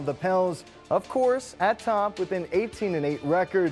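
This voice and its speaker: Music plays behind a man with a high pitch. He speaks at a moderate pace with lively intonation. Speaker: sports anchor and reporter. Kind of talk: TV sportscast anchor delivery.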